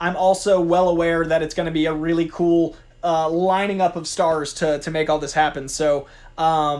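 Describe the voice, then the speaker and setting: A man talks at a high pitch. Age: 30s. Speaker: youtube host, pop culture commentator. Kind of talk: casual vlog chat. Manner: fast; animated.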